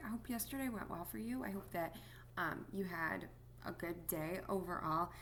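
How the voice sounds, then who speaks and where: A soft-spoken woman with vocal fry talks at a moderate pace with ordinary pitch variation, and audible room echo surrounds her voice. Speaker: music teacher. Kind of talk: recorded lesson for students. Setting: at home. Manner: quiet, soft-spoken; many filler words.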